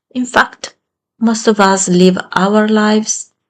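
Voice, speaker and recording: A woman with an Italian accent speaks at a very slow pace. Her voice is somewhat breathy and her intonation fairly even. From Italy. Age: 50s. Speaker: self-help channel creator. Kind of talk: motivational talk.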